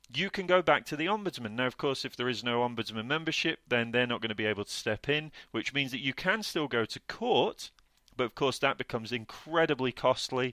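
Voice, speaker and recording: In a British accent, a man of medium pitch talks at a fairly quick pace with lively intonation and a bright, sharp tone, captured in a very clean recording with a silent background. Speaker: podcast co-host, property deal sourcer. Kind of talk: educational podcast talk. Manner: fast; hesitant fillers.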